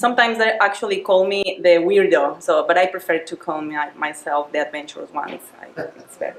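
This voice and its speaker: Someone speaks with a Spanish accent over noticeable background noise. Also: woman. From Mexico. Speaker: project manager giving a club speech. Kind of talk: prepared club speech. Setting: club meeting with audience. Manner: halting, many fillers.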